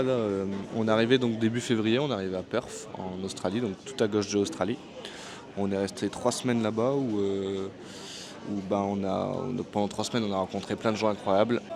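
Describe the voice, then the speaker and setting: There is noticeable background noise. A man speaks at a fairly low pitch and moderate pace, with fairly even intonation. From France. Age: 20s. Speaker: vlogger, barber on working holiday. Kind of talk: casual vlog talk to camera. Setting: airport café. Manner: hesitant, many fillers.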